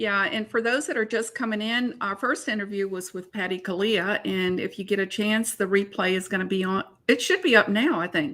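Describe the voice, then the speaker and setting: A woman's fairly quick, nearly pause-free delivery at a medium pitch, bright and sharp in tone, with ordinary pitch variation and a slight Alabama accent. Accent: slight Southern (Mobile, Alabama). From US South, Mobile, Alabama. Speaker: co-host of online art interviews. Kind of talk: casual live-stream interview. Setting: live online video broadcast.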